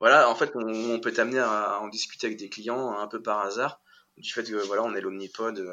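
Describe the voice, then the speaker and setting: Speaking fairly quickly, a man uses a fairly low pitch and fairly even intonation. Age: 30s. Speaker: cabinetmaker and interior decorator, entrepreneur. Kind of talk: interview. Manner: hesitant, many fillers and repetitions.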